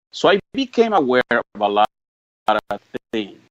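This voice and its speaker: The sound is dry and close with no echo. A man with a Spanish accent talks at a moderate pace with lively intonation. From Mexico, rural Jalisco. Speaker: political activist. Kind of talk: interview. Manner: halting, many repetitions and stammers.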